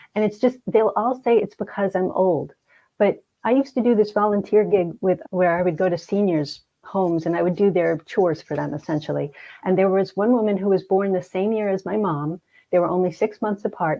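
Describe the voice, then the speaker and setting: A woman with an American accent speaks at a fairly quick pace in an ordinary speaking voice, her medium pitch moving with ordinary variation. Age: 60s. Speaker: hypnotherapist and grief counselor. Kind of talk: interview conversation.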